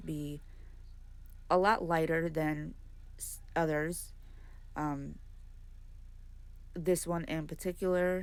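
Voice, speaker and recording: A soft-spoken woman's fairly low voice in a monotone, flat intonation, with big swings in loudness, long, frequent pauses and audible room echo. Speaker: adult coloring YouTuber. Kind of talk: tutorial.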